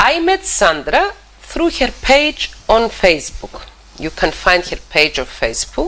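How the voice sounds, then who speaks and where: A woman with a Cypriot accent speaks at a fairly slow pace against noticeable background noise. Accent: Greek Cypriot accent in English. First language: Greek. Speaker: TV talk show host, psychologist. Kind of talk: TV interview. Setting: TV studio. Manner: halting, repeats words.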